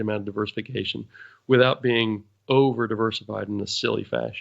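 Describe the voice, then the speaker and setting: A man talks in an unremarkable speaking voice, his pitch in the middle range and its variation ordinary, with a quiet background behind him. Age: 60s. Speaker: financial advisor. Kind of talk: podcast Q&A explanation.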